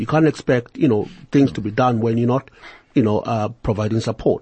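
Somewhat breathy, the man speaks at a medium pitch. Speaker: radio talk show host. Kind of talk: interview.

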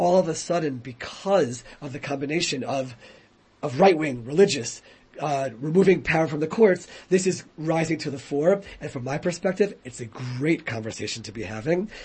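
A man speaks at a moderate pace with an American accent, his pitch fairly high and his voice somewhat breathy. His intonation is lively, and his loudness swings widely. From United States. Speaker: rabbi and former politician. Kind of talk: radio interview. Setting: radio studio.

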